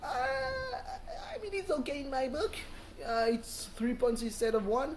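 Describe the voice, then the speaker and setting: With noticeable background noise, a man speaks at a fairly slow pace. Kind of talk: casual vlog talk to camera. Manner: hesitant, many fillers.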